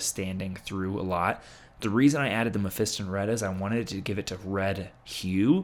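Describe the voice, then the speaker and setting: On a very clean recording with a silent background, the speech moves at a moderate pace with fairly even intonation. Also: man. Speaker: miniature painting youtuber. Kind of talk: tutorial. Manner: stumbling, filler words; casual, conversational.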